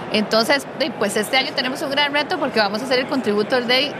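Set against noticeable background noise and audible room echo, a woman speaks. She has a high pitch and a fairly quick pace. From Costa Rica. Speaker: community organizer. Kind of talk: casual chat.

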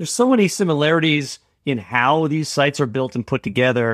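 An unremarkable speaking voice from a man, with ordinary pitch variation, in a dry, close sound with no echo and a very clean recording over a silent background. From Canada. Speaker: software business owner, former biochemistry professor. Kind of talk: casual chat.

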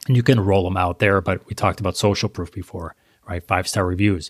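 A man with a plain, everyday voice and a fairly low pitch speaks at a fairly quick pace on a very clean recording with a silent background. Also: dry, close sound with no echo. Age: 40s. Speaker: e-commerce marketing expert. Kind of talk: interview.

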